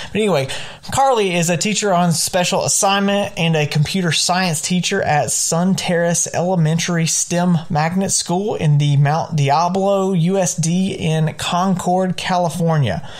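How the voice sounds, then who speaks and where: With a Southern US accent, a man speaks at a moderate pace in a high pitch, his intonation fairly even and his loudness very even. Noticeable background noise runs behind him. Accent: Southern pronunciation. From US South. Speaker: podcast host and high school English teacher. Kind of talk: podcast monologue. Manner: repeats words, some hesitation.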